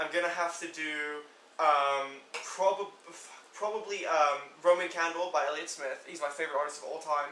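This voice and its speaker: Speech at a moderate pace comes through audible room echo and noticeable background noise. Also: man, fairly high pitch for a man, fairly even intonation. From England. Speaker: music fan. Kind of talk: casual chat.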